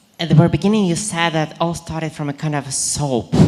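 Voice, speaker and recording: A woman with a non-native accent speaks at a very deep, low pitch against noticeable background noise. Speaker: audience member. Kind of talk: audience question.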